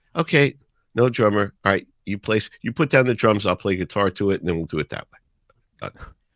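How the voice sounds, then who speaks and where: A man with a New York accent, fairly low in pitch, with lively intonation at a fairly quick pace. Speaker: radio DJ. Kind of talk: podcast interview answer.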